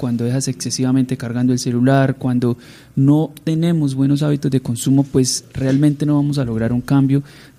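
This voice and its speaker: Speaking at a moderate pace, a man with a medium pitch and a dark, mellow tone keeps his intonation monotone and flat. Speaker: radio host. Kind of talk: radio interview. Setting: radio studio.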